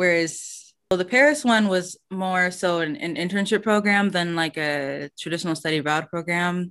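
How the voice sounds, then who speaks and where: A woman with an American accent has an unremarkable speaking voice, a fairly low pitch, ordinary pitch variation and a moderate pace, heard over a quiet background. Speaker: podcast host, language learner. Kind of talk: casual interview conversation.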